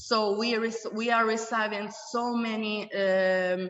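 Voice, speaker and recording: The speaker talks at a very slow pace in an Italian accent. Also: woman. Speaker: academic panelist. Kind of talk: panel discussion. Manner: halting, many fillers.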